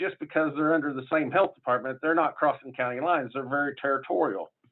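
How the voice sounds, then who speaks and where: A man speaks with an American accent. His pitch sits fairly high, with ordinary pitch variation. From southern Illinois. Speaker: public health official. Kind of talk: conference panel talk. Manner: casual, halting with fillers.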